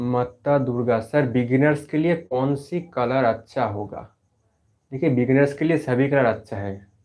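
A man speaks at a medium pitch and a fairly slow pace. His pitch varies in an ordinary way over a quiet background. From West Bengal, India. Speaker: art YouTuber, painter; art YouTuber. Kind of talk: live stream Q&A. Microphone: mic was faulty, may sound poor; lapel.

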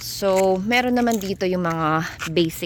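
Very slowly, a woman speaks at medium pitch. Her pitch variation is ordinary. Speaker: vlogger. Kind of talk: cooking tutorial; casual vlog narration.

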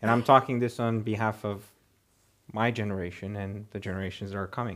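Against a quiet background, a man in a Romanian accent speaks with ordinary pitch variation. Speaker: energy company CEO. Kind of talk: prepared speech and panel discussion. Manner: hesitant, many fillers. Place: hall.

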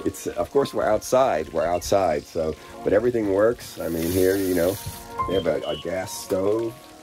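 With music playing behind him, a man talks at an even, middling speed. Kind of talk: casual talk to camera, touring.

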